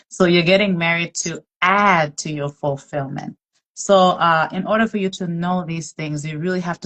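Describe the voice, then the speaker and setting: A woman talks with a non-native accent. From outside the US. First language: not English. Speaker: podcast host. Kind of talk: faith-based casual discussion. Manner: conversational with many fillers.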